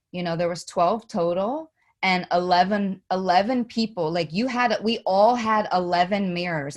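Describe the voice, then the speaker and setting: Talking at a moderate pace, a woman with an East Coast US accent uses a medium pitch and ordinary pitch variation. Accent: East Coast US twang. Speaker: podcast co-host. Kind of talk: casual chat. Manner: halting, many repeated words.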